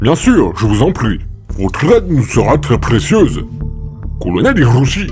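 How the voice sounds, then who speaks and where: Over clear background music, someone does a put-on character voice at a moderate pace. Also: man, medium pitch for a man. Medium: audio drama. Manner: formal, commanding.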